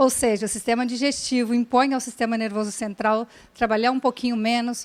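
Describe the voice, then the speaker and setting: A woman talks at a fairly high pitch and moderate pace, her intonation monotone and flat. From Brazil. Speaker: neuroscience educator, speaker. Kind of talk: lecture. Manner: halting.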